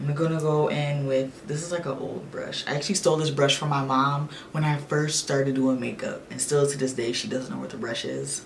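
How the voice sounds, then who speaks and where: Amid noticeable background noise and audible room echo, a woman with a very deep, low pitch talks at a fairly quick pace with fairly even intonation. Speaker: beauty vlogger. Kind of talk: makeup tutorial with casual chat. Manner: flat, deadpan; relaxed, nonchalant.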